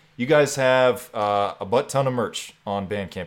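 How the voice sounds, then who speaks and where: On a very clean recording with a silent background, a man with an American accent speaks in an unremarkable speaking voice with ordinary pitch variation. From Texas Panhandle. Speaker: podcast host. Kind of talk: casual interview chat.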